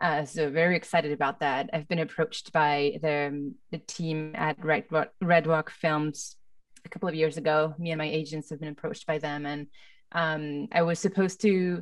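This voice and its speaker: A woman with a very deep, low pitch, a moderate pace, ordinary pitch variation, and a quiet background. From France. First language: French. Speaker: film composer. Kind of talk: panel discussion. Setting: video call. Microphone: studio mic.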